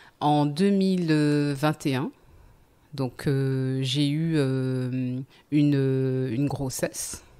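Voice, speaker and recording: Very slow and full of long, frequent pauses, a woman's very deep, low voice has a dark, mellow tone and fairly even intonation. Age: 40s. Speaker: podcast guest sharing life story. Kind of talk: testimony. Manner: halting, many hesitations.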